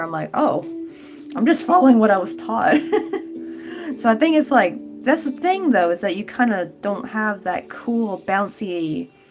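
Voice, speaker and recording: A woman with an American accent, medium in pitch, with very wide pitch swings and music in the background. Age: 20s. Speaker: crochet livestreamer. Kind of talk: casual livestream chat. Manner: casual, filler-heavy.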